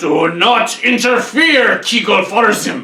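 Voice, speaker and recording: Put-on character voice from a man, extremely high-pitched and fairly slow. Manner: growling, menacing.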